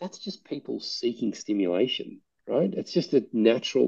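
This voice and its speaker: Fairly quick speech with an Australian accent against a quiet background. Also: man. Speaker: playground nonprofit founder. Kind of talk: interview. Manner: halting.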